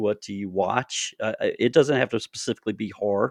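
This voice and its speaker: In a Southern US accent, a man talks at a moderate pace, recorded with a dry, close sound with no echo over a quiet background. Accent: Southern twang. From US South, North Augusta, South Carolina. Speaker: podcast host and horror author. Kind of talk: interview. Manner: halting, many fillers.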